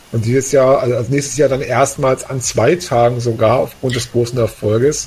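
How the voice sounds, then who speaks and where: Over noticeable background noise, a medium-pitched man speaks at a fairly quick pace with fairly even intonation. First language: German. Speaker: podcast co-founder and co-host. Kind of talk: casual chat.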